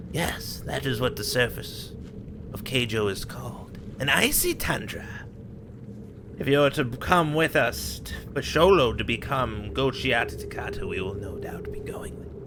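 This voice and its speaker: Over clear background noise, a man puts on a character voice at a moderate pace. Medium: actual play. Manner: pompous, rambling.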